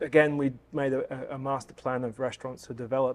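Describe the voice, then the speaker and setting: A man speaks at a medium pitch with an Australian accent, his intonation flat and monotone. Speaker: hotel general manager. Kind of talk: interview answer.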